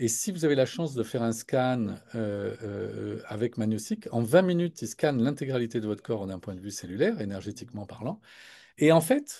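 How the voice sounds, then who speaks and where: Over a quiet background, a man of medium pitch talks at a moderate pace. His tone is dark and mellow, with lively intonation. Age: 60s. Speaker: product presenter. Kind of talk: live product webinar. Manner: hesitant, many fillers.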